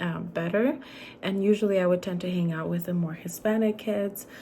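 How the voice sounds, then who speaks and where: A woman speaks at a moderate pace in a medium pitch, her somewhat breathy voice dark and mellow, with fairly even intonation. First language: Spanish. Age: 20s. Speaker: student. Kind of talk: class presentation. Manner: hesitant, many fillers.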